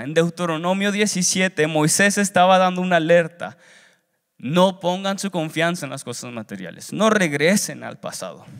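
Over a quiet background, a man speaks at a fairly slow pace with a high pitch. His pitch varies in an ordinary way, while his loudness swings widely. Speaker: seminary student preacher. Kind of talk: sermon delivered as a preaching exam, with Bible reading and exhortation. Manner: earnest, exhortative, preacher's cadence with repetitions and rising urgency. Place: hall. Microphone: handheld.

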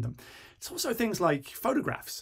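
A man speaks somewhat breathily. The background is quiet. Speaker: presenter. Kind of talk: tutorial.

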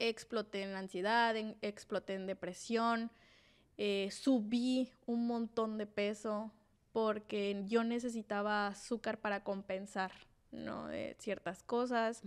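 A woman speaks very slowly in a fairly high, flat monotone, recorded very cleanly against a silent background. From Mexico, Sinaloa (Mazatlán). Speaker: podcast co-host. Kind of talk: casual chat. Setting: studio.

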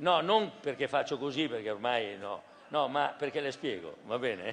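Very wide pitch swings at a fairly slow pace, over light background noise. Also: man. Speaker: prime minister. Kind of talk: political rally speech. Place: hall. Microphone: podium.

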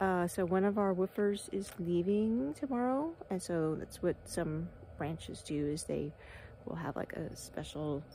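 Over light background noise, a woman with a dark, mellow tone and fairly low pitch speaks at a fairly slow pace with lively intonation, the sound dry with no echo. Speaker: wellness vlogger. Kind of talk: casual vlog chat. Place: open country. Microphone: phone near.

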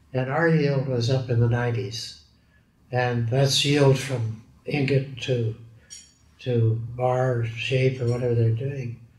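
In a room with audible echo, a man with a Canadian accent speaks at a very slow pace. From British Columbia, Canada. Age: 90s. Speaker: steel industry pioneer; interviewee. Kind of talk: oral history interview. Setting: recorded interview.

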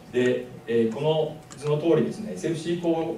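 A man with a fairly high pitch talks at a fairly quick pace with lively intonation, over noticeable background noise. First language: Japanese. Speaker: university lecturer. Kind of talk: lecture. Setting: stage with audience.

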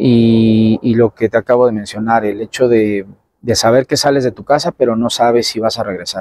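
A man speaks at a medium pitch and moderate pace with a dark, mellow tone. His intonation is fairly even, and the sound is dry with no echo. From Mexico City (Tacubaya); Mexico City. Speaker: bullfighter (banderillero); interviewee. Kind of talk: interview. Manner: halting, many fillers. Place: open country.

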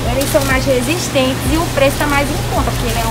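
A woman speaking with music in the background. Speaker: vlogger. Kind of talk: casual vlog chat. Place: shop. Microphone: phone near.

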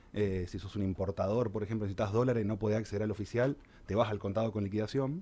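This man talks at a very fast pace with fairly even intonation. His tone is dark and mellow. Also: fairly low pitch for a man. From Argentina. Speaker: financial advisor; guest. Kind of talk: radio interview, explanatory column. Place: studio. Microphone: studio mic.

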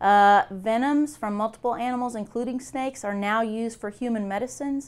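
Speaking at a middling speed, a woman lets her pitch vary a normal amount. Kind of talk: interview answer. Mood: calm, friendly explanation. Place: office. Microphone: lapel.

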